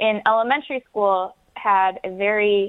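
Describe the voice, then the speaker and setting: Her intonation fairly even, a woman speaks with an American accent. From Wyandotte, Michigan, US. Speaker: high school art teacher. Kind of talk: radio interview.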